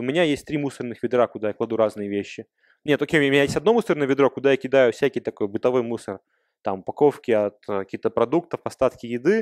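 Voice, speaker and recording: The speech comes very fast, with ordinary pitch variation. The sound is dry and close with no echo, over a quiet background. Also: man. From Russia. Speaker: software developer. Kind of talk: Q&A after a talk. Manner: casual, conversational.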